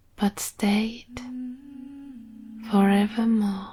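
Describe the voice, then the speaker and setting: Soft-spoken and calm with a soothing tone, a woman speaks at a fairly high pitch in a monotone, flat intonation. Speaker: storyteller. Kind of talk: sleep story. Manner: calm, soothing.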